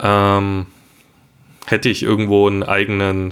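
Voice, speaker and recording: A man speaks at a fairly low pitch. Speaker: podcast co-host. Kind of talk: solo monologue.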